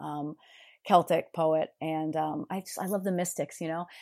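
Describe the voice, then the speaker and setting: A woman's fairly low, dark, mellow voice with an American accent, monotone and flat at a moderate pace, with big swings in loudness, in a very clean recording with a silent background. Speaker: yoga teacher and mental health counselor. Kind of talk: casual interview conversation.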